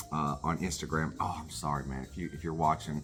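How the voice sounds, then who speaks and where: Over music in the background, a man with an American accent speaks in an animated tone at a fairly quick pace. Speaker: record collector vlogger. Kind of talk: casual chat. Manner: halting, many fillers.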